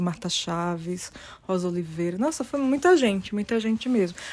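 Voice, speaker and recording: In a normal speaking voice, a woman talks at a medium pitch. Her pace is moderate, and her pitch variation ordinary. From Brazil. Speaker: poet and publisher. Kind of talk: interview.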